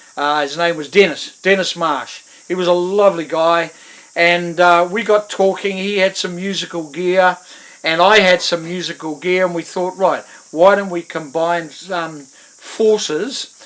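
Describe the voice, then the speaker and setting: A man with a New Zealand accent, high-pitched, at a fairly slow pace with fairly even intonation, over noticeable background noise. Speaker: musician. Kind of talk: interview monologue. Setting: at home in front of guitars. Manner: hesitant, many fillers.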